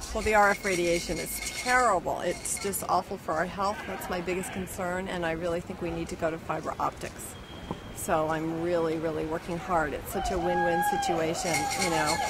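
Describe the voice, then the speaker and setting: A woman with an American accent speaks at a fairly low pitch and a moderate pace, her intonation fairly even. Noticeable background noise and audible room echo fill the recording. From San Francisco, California. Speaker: protester. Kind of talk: street interview. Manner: halting, many fillers.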